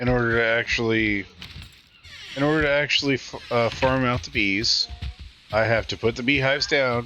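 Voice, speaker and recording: Moderate pace, fairly even intonation and long, frequent pauses, with music in the background. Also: man, medium pitch for a man. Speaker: game streamer. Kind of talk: live gameplay stream.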